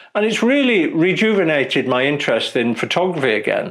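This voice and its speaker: Over noticeable background noise, a high-pitched man's voice makes very wide pitch swings. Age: 60s. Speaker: photographer and video creator. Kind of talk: casual vlog talk to camera. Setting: studio.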